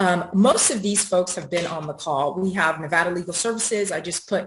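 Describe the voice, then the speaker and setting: A woman speaks in a fairly low, somewhat breathy voice. Her intonation stays fairly even. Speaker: housing advocate panelist. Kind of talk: panel presentation. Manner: fast; hesitant, many fillers.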